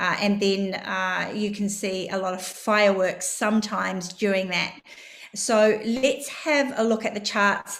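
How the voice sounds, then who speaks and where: Audible room echo surrounds a speaker with a New Zealand accent who talks at a fairly slow pace with fairly even intonation. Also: woman, medium pitch for a woman. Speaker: crypto trading educator. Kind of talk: live stream market analysis. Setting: live stream.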